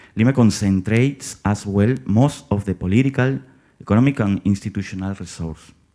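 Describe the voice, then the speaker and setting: A man with a Spanish accent speaks in a fairly low pitch with a dark, mellow tone. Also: ordinary pitch variation, fairly quick pace, very clean recording, silent background. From Peru. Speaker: theater director and acting teacher. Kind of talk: conference presentation read from script.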